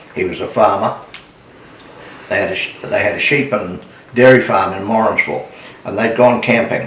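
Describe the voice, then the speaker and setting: A man speaks at a moderate pace with long, frequent pauses. Audible room echo and noticeable background noise surround him. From New Zealand, Coromandel. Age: 80s+. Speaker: retired motel owner and local elder. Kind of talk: oral history interview. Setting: at home. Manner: halting.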